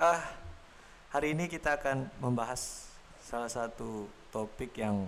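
The man's voice has a medium pitch and ordinary pitch variation. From Samarinda, East Kalimantan, Indonesia. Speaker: podcast host. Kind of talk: casual chat.

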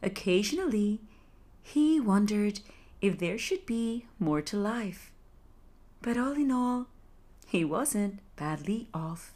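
A woman talks very slowly with long, frequent pauses, her fairly high voice somewhat breathy and full of lively intonation. Her tone is soothing and gentle, dark and mellow. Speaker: sleep storyteller. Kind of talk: bedtime fairy-tale narration, read aloud. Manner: slow, soothing, gentle storytelling pace; calm, hushed and dreamy, with soft descriptive emphasis.

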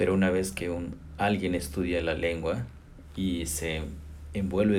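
Over audible room echo, a man with a very deep, low voice speaks fairly slowly and with fairly even intonation. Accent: Mexican. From Chicontepec, Veracruz, Mexico. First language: Nahuatl (speaking Spanish). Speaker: language professor. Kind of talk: interview. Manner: halting, with fillers.

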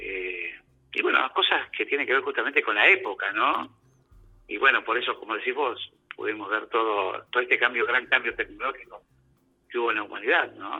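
With music playing behind, the talking moves at a medium speed. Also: man. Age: 60s. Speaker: former community radio host. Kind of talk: casual chat.

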